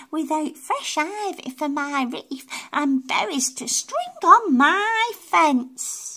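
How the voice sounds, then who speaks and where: This put-on character voice is squeaky and moves at a very slow pace with hardly any pauses. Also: female-sounding voice, high pitch for a woman. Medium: read story. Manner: fussy.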